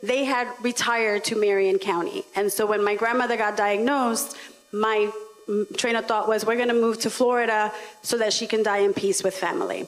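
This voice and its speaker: A woman's fairly high voice at a moderate pace, fairly even in intonation and very even in loudness, with music in the background. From New York, the Bronx. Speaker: local elected official, panelist. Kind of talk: panel discussion.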